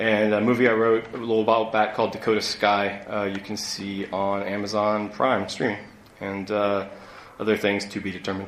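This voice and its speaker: A man with an American accent speaks at a moderate pace in a fairly low, monotone, flat voice with hardly any pauses, over noticeable background noise and audible room echo. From US Midwest (Ohio). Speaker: screenwriter and novelist. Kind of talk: live convention panel. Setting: stage with audience.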